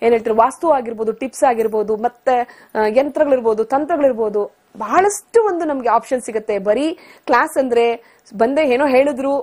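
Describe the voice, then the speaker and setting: The woman's voice is high-pitched, with ordinary pitch variation. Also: quiet background. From Bangalore, India; India. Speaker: astrology student. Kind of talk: TV interview testimony. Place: studio. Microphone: lapel.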